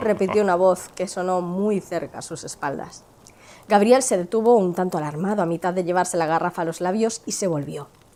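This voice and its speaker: There is noticeable background noise behind this woman's voice. Her pitch is fairly low, with ordinary variation, and her pace is moderate. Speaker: film channel host. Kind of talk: dramatized story narration.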